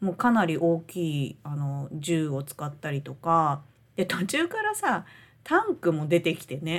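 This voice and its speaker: A woman's fairly low voice at a fairly quick pace, with ordinary pitch variation and big swings in loudness. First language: Japanese. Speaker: podcast co-host. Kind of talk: casual chat.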